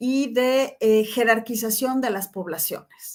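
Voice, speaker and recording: A woman talks at a fairly slow pace in a fairly high pitch with ordinary pitch variation. It is an ordinary speaking voice. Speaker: professor. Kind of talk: lecture.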